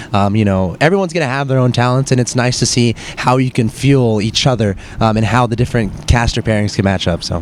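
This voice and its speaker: Medium pitch from a man at a very fast pace, hardly any pauses, ordinary pitch variation and noticeable background noise. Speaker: esports caster. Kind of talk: interview. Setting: live gaming event. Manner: animated.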